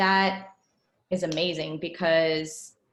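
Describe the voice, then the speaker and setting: A woman speaks with a fairly low pitch. Her intonation stays monotone and flat. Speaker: band director giving teacher training. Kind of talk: professional development presentation.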